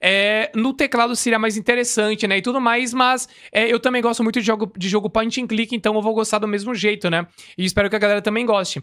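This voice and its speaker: A man with a Brazilian accent, high-pitched and bright, sharp in tone, speaking very fast with fairly even intonation against a quiet background. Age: 20s. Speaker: gaming youtuber; gaming reactor. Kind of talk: gameplay reaction commentary. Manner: casual, many filler words.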